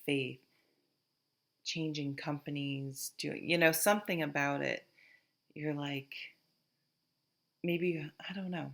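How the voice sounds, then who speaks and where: A woman with a Vermont accent and a very deep, low pitch speaks at a fairly slow pace in a very clean recording with a silent background. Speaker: tarot reader. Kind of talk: tarot reading to camera. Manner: casual, thinking aloud with fillers.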